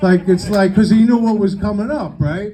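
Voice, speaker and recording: The voice has a dark, mellow tone and a New York accent, moving at a fairly quick pace. Audible room echo surrounds it. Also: man. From New York City, Sicilian family. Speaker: stand-up comedian. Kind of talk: stand-up. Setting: stage with audience. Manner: animated.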